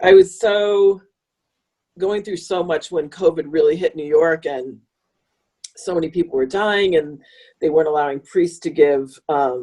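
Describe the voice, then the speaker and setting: A woman's dark, mellow voice with an American accent, at a fairly slow pace with long, frequent pauses. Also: fairly low pitch for a woman, ordinary pitch variation. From US Midwest, northern Illinois. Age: 60s. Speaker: author and wolf conservationist. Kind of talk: podcast interview.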